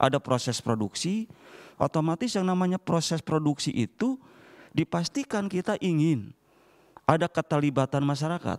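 An unremarkable speaking voice from a man, fairly high-pitched with lively intonation, a moderate pace, very even loudness and a quiet background. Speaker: regional deputy regent; panelist. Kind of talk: keynote speech. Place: hall. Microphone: handheld.

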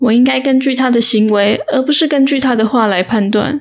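A woman talks in a fairly high voice with ordinary pitch variation. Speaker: audiobook narrator. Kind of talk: audiobook reading, bedtime story. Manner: slow, calm.

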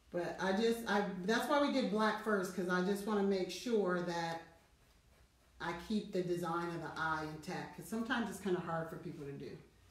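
A woman at a medium pitch with ordinary pitch variation and a moderate pace, in audible room echo. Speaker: artist and painting instructor; painting instructor. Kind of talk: tutorial. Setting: studio. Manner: loud; casual. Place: studio. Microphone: no microphone, hard to hear; webcam.

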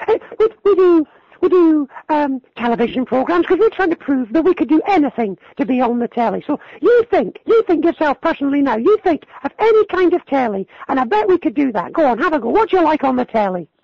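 Falsetto carries a put-on character voice. The pace is fairly quick. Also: man, extremely high pitch for a man.

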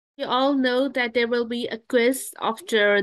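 Against quiet surroundings, a woman talks at a moderate pace. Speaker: webinar host. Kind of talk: webinar announcements. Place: home room. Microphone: video call.

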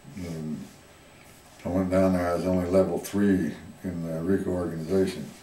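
A man with a very deep voice and a rural Southwestern US accent speaks in a flat monotone, with long, frequent pauses and audible room echo. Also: moderate pace. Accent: US Southwest rural. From Arizona. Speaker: retired miner and former rancher; interviewee. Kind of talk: oral history interview. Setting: museum. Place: hall.

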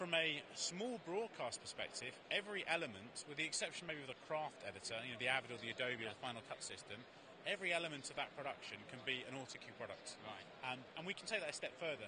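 Noticeable background noise surrounds a man talking at a very fast pace. He leaves hardly any pauses, and the sound is dry with no echo. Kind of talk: interview answer. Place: hall. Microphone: handheld.

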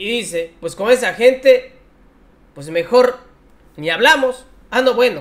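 With extremely high pitch and lively intonation, a man talks at a fairly slow pace, his loudness swinging widely between long, frequent pauses. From Mexico. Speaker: political commentary youtuber. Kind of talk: political commentary. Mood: mocking, scornful. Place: home room. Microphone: headset.

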